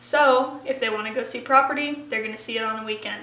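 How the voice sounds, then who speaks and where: A woman projects a raised, high-pitched voice with ordinary pitch variation, heard with audible room echo and noticeable background noise. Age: 20s. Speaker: real estate agent. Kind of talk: vlog-style talk to camera. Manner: casual, chatty.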